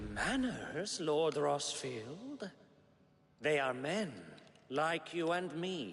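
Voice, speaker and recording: Using a put-on character voice, a man speaks very slowly at a fairly high pitch with long, frequent pauses. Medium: short film.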